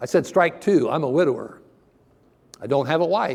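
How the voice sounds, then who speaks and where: A man with a Midwestern American accent, a dark, mellow tone, vocal fry and lively intonation. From Ohio, US Midwest. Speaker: preacher. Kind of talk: sermon.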